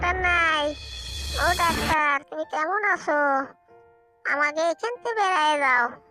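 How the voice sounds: A cartoonish character voice at a fairly slow pace over faint background music. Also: female-sounding voice, extremely high pitch for a woman.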